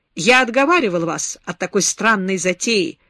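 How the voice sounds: The clip features a natural reading voice.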